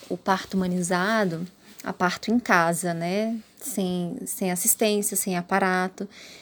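Her intonation is fairly even at a medium pitch. The woman talks at a very slow pace. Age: 30s. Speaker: mother sharing birth story. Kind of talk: personal testimony.

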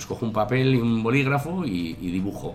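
Amid noticeable background noise and audible room echo, a man with a fairly low voice makes very wide pitch swings. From Basque Country (Tolosa, Gipuzkoa). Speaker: chef and restaurant owner. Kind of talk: interview. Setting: restaurant. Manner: halting.

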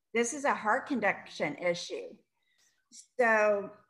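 A woman with an American accent speaks at a fairly high pitch, with ordinary pitch variation. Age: 40s. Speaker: chronic illness patient. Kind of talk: interview testimony. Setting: remote call.

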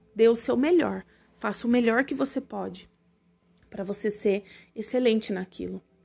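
A voice with lively intonation moves at a moderate pace over music playing in the background. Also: woman. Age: 30s. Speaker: podcast host and holistic therapist. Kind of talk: casual personal monologue.

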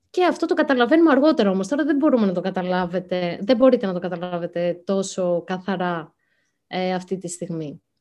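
A woman talks at a fairly quick pace with lively intonation and medium pitch. She has an unremarkable speaking voice over a quiet background. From Greece, Athens. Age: young. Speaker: writer. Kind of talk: interview. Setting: video call.

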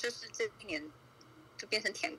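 A woman talks at a moderate pace while noticeable background noise plays underneath. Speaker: viewer guest on a livestream. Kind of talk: casual chat.

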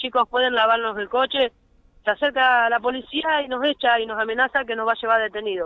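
Fairly high pitch from a woman, intonation fairly even. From Argentina. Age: 40s. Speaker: car-minder and street worker. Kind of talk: phone interview testimony. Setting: phone call.

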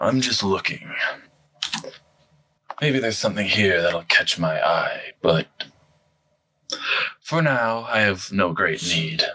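Putting on a raspy character voice, a man talks at a fairly low pitch and a fairly slow pace, with long, frequent pauses. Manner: calm, dry, measured.

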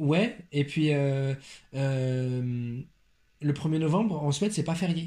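A man with a fairly high pitch, a dark, mellow tone and a somewhat breathy sound speaks at a very slow pace with very even loudness. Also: ordinary pitch variation. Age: 20s. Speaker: teacher. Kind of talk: casual chat.

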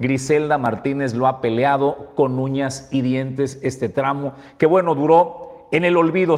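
A man with an unremarkable speaking voice, ordinary pitch variation, and a fairly slow pace. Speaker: news show host. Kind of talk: news commentary. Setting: studio.

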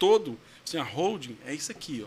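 Speaking at a fairly quick pace, a man uses a high voice. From Goiás, Brazil (São Luís de Montes Belos). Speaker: lawyer. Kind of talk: testimonial interview.

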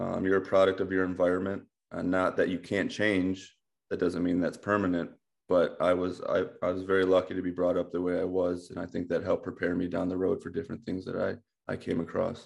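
Against a quiet background, a man with a Midwestern American accent speaks in a very deep, low pitch with monotone, flat intonation. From US Midwest, Ohio. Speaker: baseball coach, former pro player. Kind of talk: casual interview chat.

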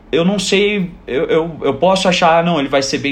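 A man talks while noticeable noise sounds behind him. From southern Brazil, Joinville. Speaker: basketball coach. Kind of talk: casual chat.

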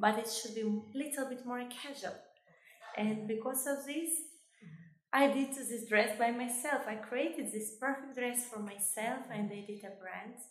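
With audible room echo, a woman speaks at a moderate pace and a high pitch, her loudness swinging widely. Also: fairly even intonation. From Kosovo. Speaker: fashion designer and beauty queen. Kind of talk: interview. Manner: halting.

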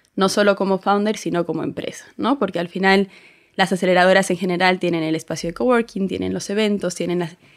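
A woman speaks very fast at a medium pitch with fairly even intonation. The recording is very clean with a silent background. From Bolivia. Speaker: strategy and experience design consultant. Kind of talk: casual chat.

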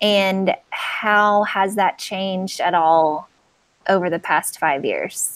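Speaking very slowly at a medium pitch, a woman comes through on a very clean recording with a silent background. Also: fairly even intonation. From Nashville. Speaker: podcast host. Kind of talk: casual interview.

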